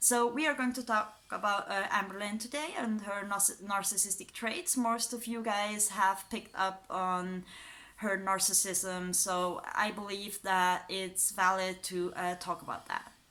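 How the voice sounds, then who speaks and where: Speaking with a European accent, a woman uses a medium pitch and a bright, sharp tone at a fairly slow pace, with hardly any pauses and fairly even intonation. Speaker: YouTuber, psychology student. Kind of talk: casual commentary video. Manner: hesitant, many fillers.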